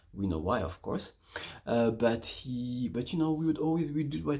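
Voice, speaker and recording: Somewhat breathy and dark, mellow in tone, a man talks at a fairly slow pace with a medium pitch. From Congo. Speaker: vlogger. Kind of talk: story time vlog.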